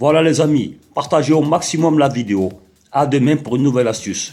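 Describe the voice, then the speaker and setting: With a southern French accent, a man talks in an animated tone at a moderate pace, his pitch varying in an ordinary way. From southern France. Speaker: tech tips video maker. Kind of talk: tutorial. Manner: casual, animated.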